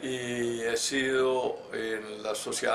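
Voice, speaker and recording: Amid noticeable background noise and audible room echo, a medium-pitched man speaks in a monotone, flat intonation. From Colombia, Antioquia (Medellín; born Pácora, Caldas). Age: 70s. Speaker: retired engineer and former scout. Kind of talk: life story interview. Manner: halting, with frequent fillers and repetitions.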